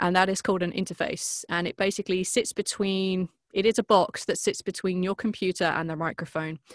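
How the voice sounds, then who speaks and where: A woman with a British accent talks fairly quickly with hardly any pauses, in a cheerful tone but a monotone, flat intonation, on a very clean recording with a silent background. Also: medium pitch for a woman, dry, close sound with no echo. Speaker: voice actress and podcast producer. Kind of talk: interview. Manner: cheerful, laughs often.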